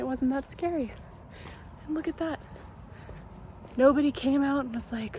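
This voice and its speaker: Soft-spoken and high-pitched, a woman with a dark, mellow tone and ordinary pitch variation talks at a moderate pace with long, frequent pauses. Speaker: lifestyle vlogger. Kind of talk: vlog monologue. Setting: outdoors.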